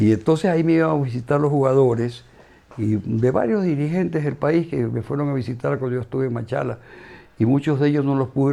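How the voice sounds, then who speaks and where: This man's pitch rises and falls in an ordinary way. He speaks very fast. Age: 70s. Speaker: former football club executive and politician. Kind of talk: interview.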